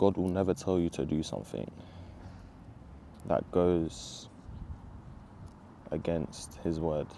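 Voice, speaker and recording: Man with a London accent, very deep, low pitch, dark, mellow tone, ordinary pitch variation, very slow pace with long, frequent pauses. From Southeast London, England. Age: 20s. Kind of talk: personal testimony. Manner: casual, halting with fillers.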